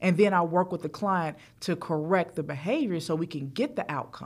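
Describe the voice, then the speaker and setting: A woman with an ordinary speaking voice, fairly low pitch and ordinary pitch variation at a moderate pace, in a very clean recording with a silent background. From US South, Charlotte, North Carolina. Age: 40s. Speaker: financial coach. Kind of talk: interview.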